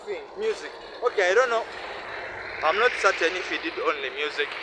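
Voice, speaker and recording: A man's high, raised and projected voice, fairly quick and lively in intonation, broken by long, frequent pauses, dry with no echo over noticeable background noise. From Uganda. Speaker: vlogger. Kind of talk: casual monologue. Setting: outdoors. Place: street. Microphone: phone near.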